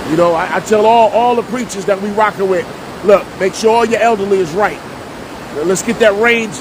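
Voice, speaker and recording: A man with a New Jersey accent and a high pitch speaks at a moderate pace over noticeable background noise. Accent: New Jersey urban speech. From US Northeast, Jersey City, New Jersey. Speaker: online talk show host and minister. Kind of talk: casual monologue. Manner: animated.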